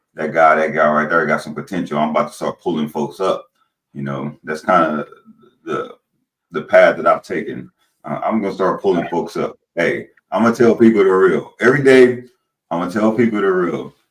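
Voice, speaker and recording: A man speaks at a fairly quick pace with lively intonation. His pitch is very deep and low. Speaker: podcast host. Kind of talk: podcast interview.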